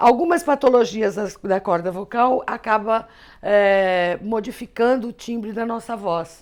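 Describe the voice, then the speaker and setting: Pitched fairly high, a woman speaks at a fairly slow pace in a very clean recording with a silent background. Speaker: teacher. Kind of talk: lecture. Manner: conversational.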